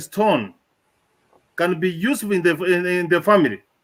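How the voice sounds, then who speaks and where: The tone is bright and sharp. Delivery comes at a moderate pace. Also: man. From Kenya. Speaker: professor. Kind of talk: speech. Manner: halting.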